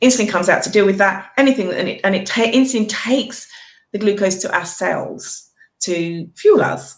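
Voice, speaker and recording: The speaker talks with a British accent and ordinary pitch variation. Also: woman. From Britain. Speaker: nutritional therapist. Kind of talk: explanation in live video chat. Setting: live video call.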